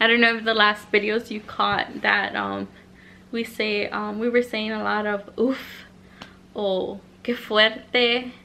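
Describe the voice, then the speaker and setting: A woman in a Spanish accent, bright and sharp in tone, at a very slow pace. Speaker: vlogger. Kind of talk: casual chat, story time vlog.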